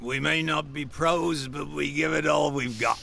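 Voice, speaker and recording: Putting on a raspy character voice at a fairly high pitch, a man talks at a moderate pace over clear background noise. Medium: video game.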